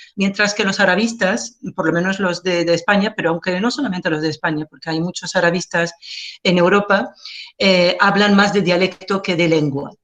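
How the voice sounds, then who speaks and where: A woman speaks at a medium pitch with an Algerian accent. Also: ordinary pitch variation, moderate pace. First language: Algerian Arabic (speaking Spanish). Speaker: linguist. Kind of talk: lecture. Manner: halting, frequent fillers.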